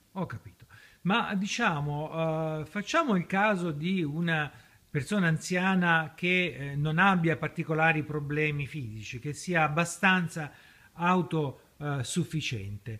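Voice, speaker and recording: On a very clean recording with a silent background, a man with a bright, sharp tone and fairly high pitch speaks at a very slow pace with ordinary pitch variation. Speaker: university professor. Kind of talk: interview questions. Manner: hesitant, filler-heavy.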